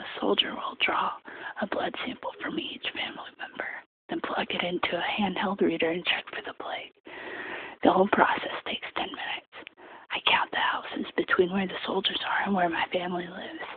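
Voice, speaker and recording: Someone whispers at a fairly quick pace. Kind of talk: soft-spoken audiobook-style reading for sleep. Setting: casual late-night bedroom-style recording. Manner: soft-spoken, quiet whisper.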